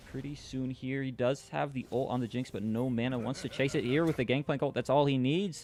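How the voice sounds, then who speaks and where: At a very fast pace, a man talks at a medium pitch. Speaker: esports caster. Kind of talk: live commentary. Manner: animated.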